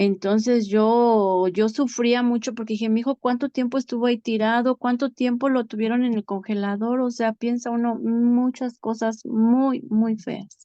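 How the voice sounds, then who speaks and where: Over a quiet background, a woman speaks in a monotone, flat intonation. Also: fairly high pitch for a woman. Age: 40s. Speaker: bereaved mother. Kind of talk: testimony.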